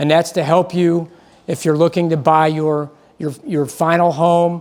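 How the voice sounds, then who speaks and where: With a Midwestern US accent, a man speaks at a moderate pace in a monotone, flat intonation and a fairly high pitch. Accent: US Midwest. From US Midwest, Akron, Ohio. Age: 60s. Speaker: mortgage loan presenter. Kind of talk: seminar presentation. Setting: seminar room with audience. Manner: halting, with repeats and fillers.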